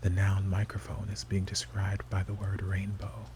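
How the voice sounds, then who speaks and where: Soft-spoken and very deep in pitch, a man talks at a moderate pace over noticeable background noise. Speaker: ASMR creator. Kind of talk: ASMR game talk to camera.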